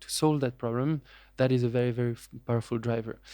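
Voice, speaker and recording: A speaker with a French accent talks at a fairly quick pace. The tone is dark and mellow. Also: man. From France. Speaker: venture capitalist. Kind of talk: interview. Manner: hesitant, many fillers.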